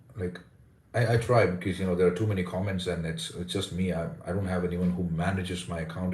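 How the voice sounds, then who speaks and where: Very deep and low, a man's somewhat breathy voice rushes at a very fast pace. His intonation is monotone and flat, with audible room echo. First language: Indian language. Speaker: English pronunciation coach. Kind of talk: live stream chat.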